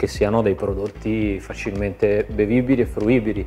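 Faint music plays in the background while a man talks. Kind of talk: interview answer. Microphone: lapel.

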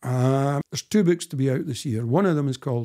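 A man's dark, mellow tone shows ordinary pitch variation, with a quiet background behind him. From Scotland, Dundee; Scotland. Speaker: historian and author; guest. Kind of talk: interview conversation. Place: home room.

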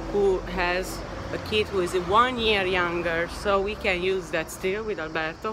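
Noticeable background noise sits beneath speech delivered at a very slow pace. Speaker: travel vlogger. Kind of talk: casual vlog chat. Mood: relaxed, explanatory. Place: street. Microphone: phone near.

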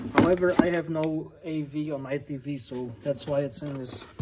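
A fairly slow pace under loud background noise. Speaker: gaming collector vlogger. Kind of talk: casual vlog chat. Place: home room. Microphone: phone near.

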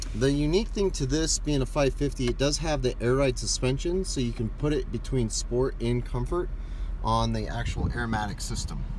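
The sound is dry with no echo. There is noticeable background noise. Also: man. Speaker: car salesperson. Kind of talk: product walkaround tour. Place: car. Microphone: phone near.

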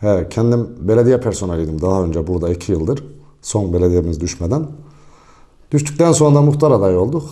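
Over a quiet background, a dark, mellow voice moves at a moderate pace through very wide pitch swings. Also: man. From Niğde, central Anatolia, Turkey; Turkey. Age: 40s. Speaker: village headman. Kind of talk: interview. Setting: headman's office in village. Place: office. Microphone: handheld.

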